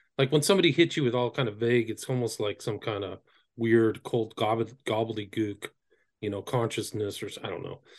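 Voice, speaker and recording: With an American accent, a man uses an ordinary speaking voice at medium pitch and a fairly quick pace, with ordinary pitch variation and big swings in loudness against a quiet background. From Northern California. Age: 50s. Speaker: author and occult researcher. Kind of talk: interview. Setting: video call.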